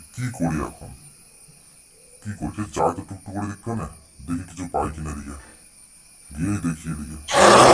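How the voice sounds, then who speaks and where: A man's cartoonish character voice, very deep and low in pitch, at a moderate pace. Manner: fretful, talks to himself.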